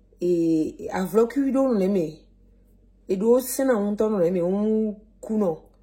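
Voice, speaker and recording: A woman with a Togolese accent speaks very slowly with long, frequent pauses, her fairly high, dark, mellow voice somewhat breathy and lively in intonation. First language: Mina (speaking French). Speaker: cooking vlogger. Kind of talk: cooking tutorial. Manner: casual, hesitant with fillers.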